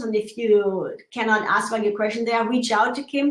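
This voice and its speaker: In a room with audible echo, a woman talks at a fairly high pitch that varies in an ordinary way. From Germany. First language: German. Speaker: show co-host. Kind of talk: live video chat.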